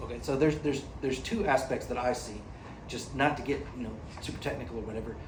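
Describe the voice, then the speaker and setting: In an American accent, a man speaks at medium pitch in an animated tone, with audible room echo. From United States. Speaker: AI company executive, panelist. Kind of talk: panel discussion. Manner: animated, conversational with repetitions.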